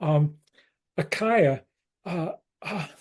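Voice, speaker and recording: The speaker is a man with a fairly high voice. It sounds somewhat breathy. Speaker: activist host. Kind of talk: casual hosting. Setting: video call.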